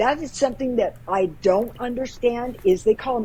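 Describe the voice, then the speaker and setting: Using an unremarkable speaking voice, a woman talks with ordinary pitch variation at a moderate pace. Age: 60s. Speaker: paranormal investigator. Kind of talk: casual interview chat.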